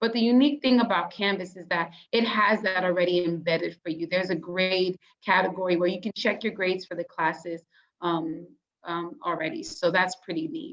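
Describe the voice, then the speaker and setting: A woman with an ordinary speaking voice, medium pitch, ordinary pitch variation and a fairly quick pace. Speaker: peer mentor for college students. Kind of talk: online workshop presentation. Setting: video call.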